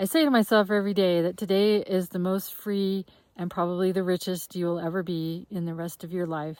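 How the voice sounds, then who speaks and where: In a normal speaking voice, the speaker talks at a fairly quick pace with fairly even intonation. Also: woman, medium pitch for a woman. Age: 60s. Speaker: long-distance hiker and vlogger. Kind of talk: personal video diary. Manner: casual, with frequent filler words.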